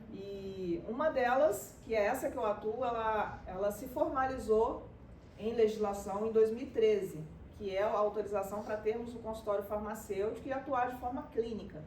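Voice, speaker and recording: A woman at a fairly high pitch and moderate pace, ordinary pitch variation, noticeable background noise and audible room echo. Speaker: pharmacist. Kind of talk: talk to a church group.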